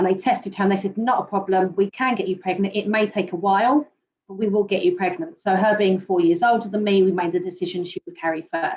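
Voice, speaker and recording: Speaking at a very fast pace, a woman with a British accent sounds somewhat breathy. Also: medium pitch for a woman, ordinary pitch variation. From UK. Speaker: panelist sharing fertility journey. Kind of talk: personal testimony on a panel.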